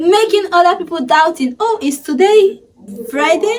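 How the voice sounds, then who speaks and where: A loud woman's voice, extremely high in pitch, at a fairly slow pace. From Sierra Leone. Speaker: YouTuber. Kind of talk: casual vlog talk.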